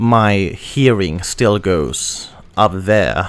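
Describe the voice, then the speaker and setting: This man speaks with a non-native accent. His pitch is fairly low, with ordinary variation. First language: not English. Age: young. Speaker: audio gear reviewer. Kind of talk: product review. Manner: halting, with many fillers and restarts.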